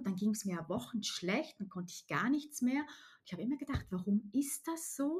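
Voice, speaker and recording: Somewhat breathy speech at a moderate pace with lively intonation. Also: woman. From Switzerland, Alpine countryside. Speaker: nutrition coach and former primary teacher. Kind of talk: interview about personal illness story.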